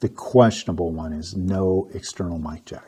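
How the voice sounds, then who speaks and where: At a moderate pace, a man is talking. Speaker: photography reviewer. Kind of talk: product review talk. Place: home room. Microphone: lapel.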